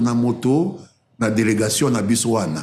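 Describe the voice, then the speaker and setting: There is a somewhat breathy quality here. The tone is dark and mellow. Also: man. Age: 70s. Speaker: politician, former government spokesman. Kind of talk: interview answer.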